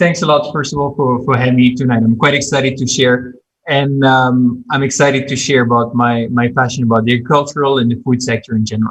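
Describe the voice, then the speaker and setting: Speaking in a strong Belgian French accent, a man delivers his words at a fairly quick pace and medium pitch, somewhat breathy and with fairly even intonation. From Belgium. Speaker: agribusiness consultant. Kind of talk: podcast interview.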